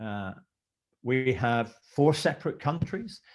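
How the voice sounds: A man with a slight Scottish accent, medium pitch, a slightly mellow tone, lively intonation and a fairly slow pace. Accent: Scottish, mild.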